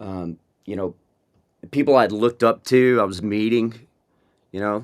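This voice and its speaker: With an American accent, a man speaks in a fairly low pitch on a very clean recording with a silent background. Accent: Texan twang, comes and goes. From West Texas, small town. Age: 40s. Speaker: rock band frontman. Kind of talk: interview conversation. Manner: halting, many restarts and fillers.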